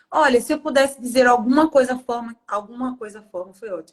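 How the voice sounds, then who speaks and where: A woman's somewhat breathy voice at a moderate pace, with ordinary pitch variation. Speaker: speech therapist. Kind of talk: podcast interview.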